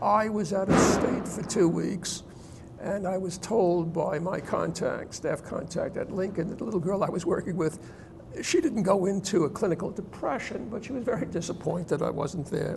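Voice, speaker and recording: Amid noticeable background noise, a man speaks at a moderate pace in a high voice. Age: 70s. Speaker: literacy program founder and volunteer tutor. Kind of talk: TV interview.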